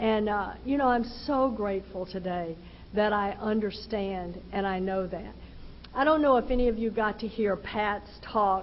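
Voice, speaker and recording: Delivered at a fairly slow pace, the speech comes in a Texan accent with fairly even intonation. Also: woman. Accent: Texan Southern US. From Texas. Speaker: recovery speaker. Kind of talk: personal testimony talk.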